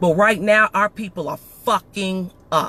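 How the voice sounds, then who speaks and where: A man speaks loudly. The sound is dry and close, with no echo. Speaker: podcast host. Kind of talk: emotional monologue. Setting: live stream. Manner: animated.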